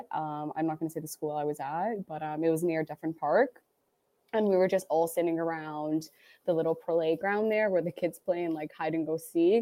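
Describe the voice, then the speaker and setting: Speaking at a moderate pace, a woman uses a plain, everyday voice, fairly low in pitch with fairly even intonation. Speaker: social media and events worker, guest. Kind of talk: casual chat. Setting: remote recording over internet.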